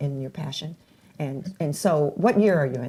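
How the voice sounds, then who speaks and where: Her pace moderate, a woman speaks with ordinary pitch variation. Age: 80s+. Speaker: talk show host interviewing young people. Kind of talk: casual interview.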